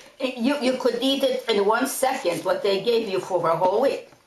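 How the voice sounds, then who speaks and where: A woman talks at a moderate pace with ordinary pitch variation. Audible room echo and noticeable background noise fill the recording. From Poland. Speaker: Holocaust survivor. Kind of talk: testimony.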